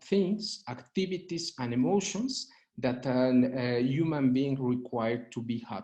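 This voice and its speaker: Speaking at a fairly slow pace, a man with a Spanish accent has a dark, mellow tone. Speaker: urban law expert. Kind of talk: panel presentation. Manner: halting, many fillers.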